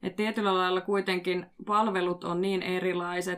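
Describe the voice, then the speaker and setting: Over noticeable background noise, a woman speaks at a moderate pace and a medium pitch. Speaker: podcast host and street mediation worker. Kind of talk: casual discussion.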